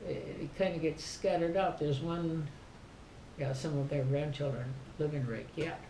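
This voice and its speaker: Amid noticeable background noise and audible room echo, a woman with a very deep, low pitch speaks at a moderate pace with ordinary pitch variation, taking long, frequent pauses. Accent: Upper Midwest. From southern Minnesota. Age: 80s+. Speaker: family elder. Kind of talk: casual chat.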